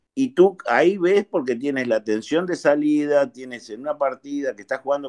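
Recorded dry and close with no echo against a quiet background, a man speaks at a moderate pace with ordinary pitch variation. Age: 50s. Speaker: amateur golfer. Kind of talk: casual chat.

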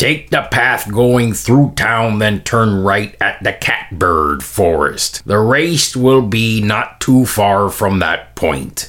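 A man does a put-on character voice, fairly low in pitch, at a very slow pace with hardly any pauses. Light background noise can be heard. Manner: friendly, haggling.

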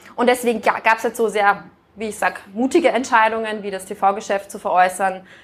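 A woman speaks at a fairly quick pace. She has a plain, everyday voice. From Austria. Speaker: business executive. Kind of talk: interview.

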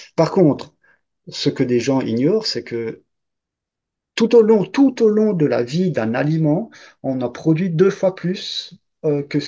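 Against a quiet background, a man speaks at a fairly slow pace with a fairly high pitch. His tone is dark and mellow, and his intonation is lively. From Alsace, France. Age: 50s. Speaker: farm worker. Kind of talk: interview.

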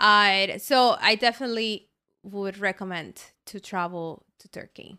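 A woman speaks with a Spanish accent and a bright, sharp tone. Her pitch varies an ordinary amount on a very clean recording with a silent background. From Colombia. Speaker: guest. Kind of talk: casual chat.

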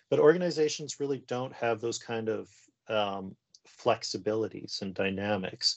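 Speaking in a Canadian accent, a man with an unremarkable speaking voice talks at a moderate pace in a medium pitch with lively intonation. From western Canada. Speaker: professor. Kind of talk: interview conversation.

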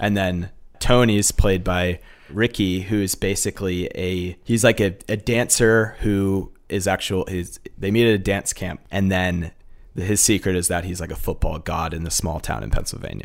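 A man's very deep, low voice at a moderate pace with fairly even intonation, on a very clean recording with a silent background. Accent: American. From Massachusetts. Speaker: film director. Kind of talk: casual interview.

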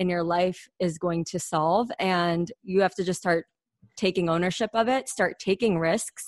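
A woman with a Mid-Atlantic accent at medium pitch, ordinary pitch variation, a moderate pace, and a quiet background. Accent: American, Mid-Atlantic. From US, Washington DC area. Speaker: podcast co-host, business school graduate. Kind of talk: casual interview.

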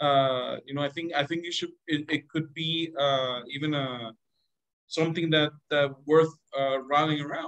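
Speaking in a Spanish accent, a man with a fairly high pitch talks at a fairly slow pace with monotone, flat intonation. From Venezuela. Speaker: government diplomat. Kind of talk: interview. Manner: halting, many repetitions and fillers.

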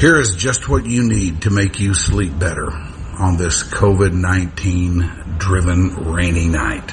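Speaking very slowly, a man with a very deep, low pitch uses lively intonation over noticeable background noise. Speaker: radio host. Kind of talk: radio dj patter. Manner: warm, easygoing, chatty, upbeat.

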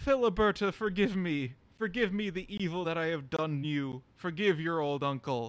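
Using a put-on character voice, a man speaks high at a moderate pace.

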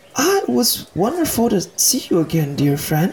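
Using a strained, put-on character voice, a man with a high pitch speaks at a moderate pace with very even loudness. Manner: soft-spoken, overly formal, strained politeness.

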